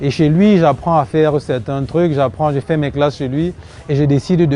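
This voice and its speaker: A man's fairly high pitch and fairly even intonation amid noticeable background noise. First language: Cameroonian local language (speaking French). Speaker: woodcraft entrepreneur. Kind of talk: TV interview.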